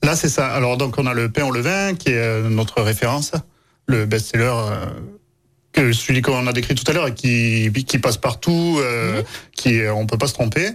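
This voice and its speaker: A man talks at a moderate pace with a medium pitch and a southern French accent. His pitch varies in an ordinary way, and his loudness stays very even. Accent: southern French (Aveyron). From Aveyron, France. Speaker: baker and bakery owner. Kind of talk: casual radio interview. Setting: radio studio.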